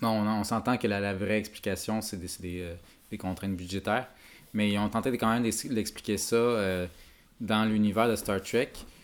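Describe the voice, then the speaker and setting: The speaker is a man with a fairly low pitch. He keeps a moderate pace and fairly even intonation. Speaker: podcast host. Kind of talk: casual chat.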